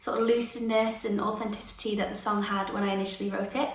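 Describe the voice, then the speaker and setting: A woman with a Lancashire accent speaks at a fairly high pitch, with noticeable background noise and audible room echo. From northern England, Lancaster. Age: 20s. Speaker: singer-songwriter. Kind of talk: interview answers. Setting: remote interview.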